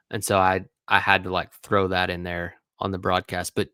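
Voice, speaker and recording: Recorded very cleanly against a silent background, a man with an East Tennessee accent talks at a moderate pace. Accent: Southern US (East Tennessee). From East Tennessee, Morristown. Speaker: former college baseball player, sports analyst. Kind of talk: casual chat.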